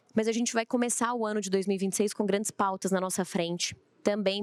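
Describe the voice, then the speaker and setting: A woman speaks very fast in a monotone, flat voice, recorded with a dry, close sound and no echo. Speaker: panel moderator. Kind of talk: panel discussion. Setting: stage with audience. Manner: naturally loud.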